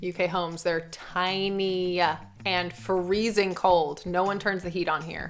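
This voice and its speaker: Speaking at a fairly slow pace with an American accent, a woman has an unremarkable speaking voice and a fairly low pitch. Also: fairly even intonation. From USA. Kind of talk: casual talk to camera.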